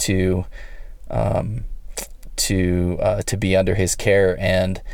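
A man speaks in an energetic tone at a fairly low pitch. The room echo is audible. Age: 30s. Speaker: men's health coach and podcast host. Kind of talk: solo podcast monologue. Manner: energetic, motivational.

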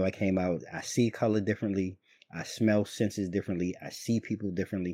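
A man with an American accent speaks in a fairly low, dark and mellow voice, in a very clean recording with a silent background. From Washington DC area. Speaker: podcast host. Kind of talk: casual chat. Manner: casual, friendly.

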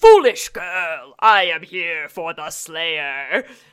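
A booming, raspy put-on character voice at a middle pitch, delivered at a very slow pace. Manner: menacing, gloating.

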